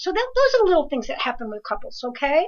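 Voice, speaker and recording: A woman with an American accent talks in an animated tone. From New Jersey. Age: 60s. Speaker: evidential medium. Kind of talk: live call-in reading and advice show. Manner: fast.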